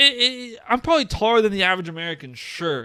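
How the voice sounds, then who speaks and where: In a raised, projected voice with a bright, sharp tone, a man speaks with very wide pitch swings. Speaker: podcast co-host. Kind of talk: casual chat. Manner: stutter; animated.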